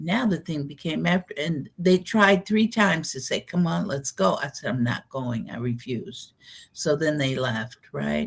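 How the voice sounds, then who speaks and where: A woman talks in a very deep, low pitch with vocal fry at a moderate pace. Her pitch swings very widely. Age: 70s. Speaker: spiritual channeler and educator. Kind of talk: interview. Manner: conversational storytelling.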